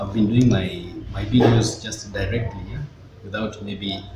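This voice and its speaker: Music in the background behind a man talking. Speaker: vlogger. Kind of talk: casual vlog chat. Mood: mildly frustrated about delivery. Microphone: phone near.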